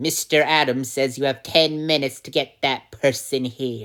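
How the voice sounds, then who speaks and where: At a moderate pace, the speaker uses a put-on character voice pitched low to middle. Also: very clean recording, silent background. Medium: solo performance. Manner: formal, stiff.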